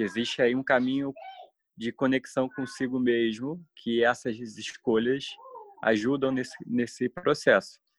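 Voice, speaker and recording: A man with an ordinary speaking voice talks at medium pitch and a fairly slow pace with ordinary pitch variation, in a dry, close sound with no echo. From Brazil. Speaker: history teacher, alternative education project member. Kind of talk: interview conversation.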